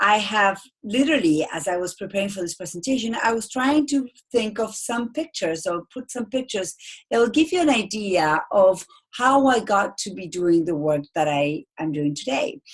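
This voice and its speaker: A somewhat breathy woman with an Argentine accent speaks with very wide pitch swings. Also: medium pitch for a woman, moderate pace. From Argentina. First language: Spanish. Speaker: speaking coach. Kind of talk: webinar presentation. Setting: online webinar.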